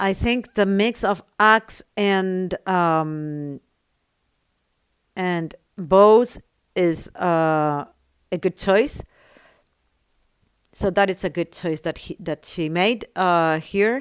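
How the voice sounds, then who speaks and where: At a very slow pace with long, frequent pauses, a woman with a non-native accent speaks with ordinary pitch variation in a very clean recording with a silent background. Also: medium pitch for a woman, dry, close sound with no echo. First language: not English. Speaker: gaming tutorial creator. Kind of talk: tutorial.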